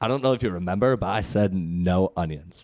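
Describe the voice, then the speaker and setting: A man's put-on, whiny character voice in a Long Island accent, very deep and low-pitched, at a fairly quick pace with ordinary pitch variation, on a very clean recording with a silent background. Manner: whiny, annoyed.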